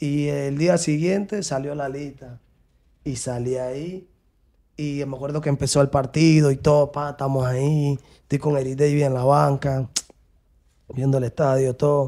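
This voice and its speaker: A man with a Panamanian accent, fairly even intonation and a fairly slow pace, with long, frequent pauses against a quiet background. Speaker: professional footballer; interview guest. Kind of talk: interview. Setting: studio. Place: studio. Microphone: studio mic.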